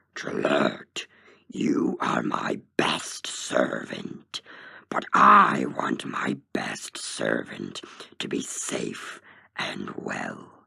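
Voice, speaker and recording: A growling put-on character voice speaks at a very slow pace. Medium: read story. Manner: powerful, commanding.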